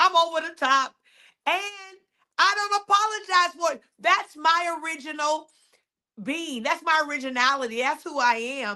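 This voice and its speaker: A woman's raised, projected voice sits high in pitch with a bright, sharp tone. She speaks at a moderate pace. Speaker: podcast host and faith coach. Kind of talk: motivational podcast monologue. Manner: loud, over the top.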